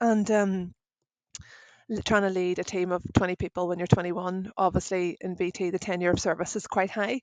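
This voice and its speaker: A woman speaks with a Northern Irish accent. Her intonation is fairly even and her pace moderate. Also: medium pitch for a woman, dry, close sound with no echo. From Northern Ireland. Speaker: IT service operations director. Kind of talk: podcast interview. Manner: casual, chatty.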